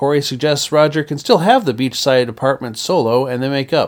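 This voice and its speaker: A man talks in a normal speaking voice. His pace is moderate, and his pitch varies in an ordinary way. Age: 50s. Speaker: TV review podcaster. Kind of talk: solo podcast review monologue; episode plot recap.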